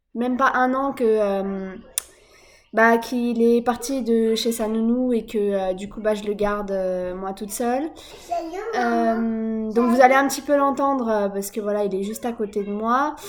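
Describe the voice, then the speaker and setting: Against noticeable background noise, a woman speaks at a fairly slow pace with a fairly high pitch and fairly even intonation. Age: 20s. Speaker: vlogger, young mother. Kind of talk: personal vlog monologue. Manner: hesitant, many fillers.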